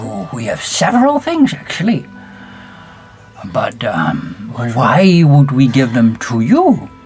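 A put-on character voice sits at a low-to-middle pitch and a fairly slow pace. Clear music plays in the background. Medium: actual play. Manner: pompous, boastful.

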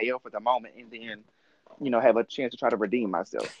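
This man talks at a very fast pace with a slight Southern US accent. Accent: mild Southern US. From US South, Mississippi. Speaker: podcast host. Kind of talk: casual chat.

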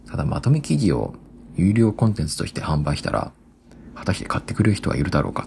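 Through noticeable background noise, a man talks at a very fast pace in a very deep, low pitch with very wide pitch swings. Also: long, frequent pauses. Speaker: solo podcaster. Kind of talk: casual monologue. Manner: casual, laughing.

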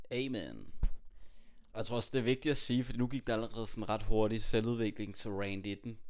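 A man's medium-pitched, plain, everyday voice at a moderate pace, with fairly even intonation. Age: 20s. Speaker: podcast host, aspiring public speaker. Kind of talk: casual chat. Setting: home, on a sofa.

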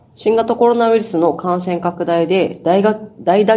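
A woman with a plain, everyday voice, a fairly low pitch, ordinary pitch variation and a fairly slow pace. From Okinawa, northern main island (Nago). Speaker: newspaper reporter. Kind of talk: news discussion.

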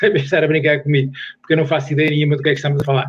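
The man speaks with a fairly high pitch. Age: 60s. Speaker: sports science professor. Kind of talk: casual chat.

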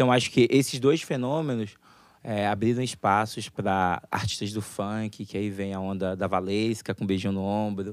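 With ordinary pitch variation and a fairly low pitch, a man speaks at a moderate pace in a plain, everyday voice. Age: 20s. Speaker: pop music website founder. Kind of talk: panel discussion.

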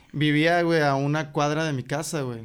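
A man with a fairly high pitch talks in a monotone, flat way at a moderate pace. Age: 20s. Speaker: rapper. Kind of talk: casual chat.

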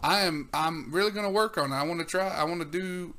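Speaking at a moderate pace, a man with a high pitch and a bright, sharp tone shows ordinary pitch variation. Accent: Southern US. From US South. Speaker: podcast host. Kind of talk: casual chat.

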